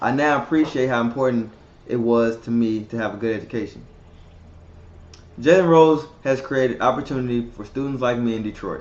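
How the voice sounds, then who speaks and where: A man in an American accent, medium in pitch with ordinary pitch variation, at a fairly quick pace with long, frequent pauses. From Texas, Dallas. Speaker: student. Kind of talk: scripted testimony.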